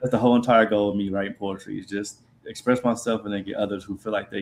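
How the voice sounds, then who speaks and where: Speaking at a very fast pace with an American accent, a man holds a fairly low pitch in monotone, flat intonation. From Columbus, Ohio, US Midwest. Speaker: spoken word poet. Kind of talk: interview. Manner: tends to talk fast.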